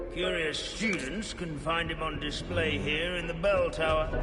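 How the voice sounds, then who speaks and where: Using a put-on character voice, a man speaks at a moderate pace in a high pitch, with a clear echo and loud background noise. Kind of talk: dry academic lecture. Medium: game stream. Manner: droning, pedantic, absent-minded.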